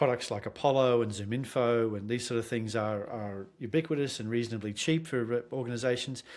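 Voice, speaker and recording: A man with an Australian accent, medium pitch and fairly even intonation, at a fairly quick pace with hardly any pauses. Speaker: sales consultant. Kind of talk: podcast interview.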